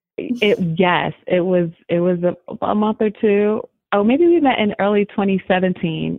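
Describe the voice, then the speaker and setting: A woman with an unremarkable speaking voice talks in an American accent at a medium pitch and a fairly slow pace. Her intonation is lively and her loudness very even. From New Jersey. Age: 40s. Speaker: family law attorney. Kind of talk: interview conversation.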